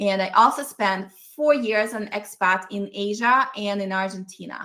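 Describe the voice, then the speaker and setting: This woman's tone is bright and sharp, her pitch medium with ordinary variation. She keeps a moderate pace. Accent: Russian. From Russia (Ural Mountains, USSR). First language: Russian. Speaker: business coach. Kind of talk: online masterclass.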